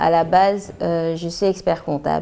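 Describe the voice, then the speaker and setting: Her pitch fairly low, a woman speaks at a very slow pace. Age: 40s. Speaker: entrepreneur, cosmetics brand founder. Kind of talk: documentary interview testimony. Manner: hesitant, with fillers and repetitions.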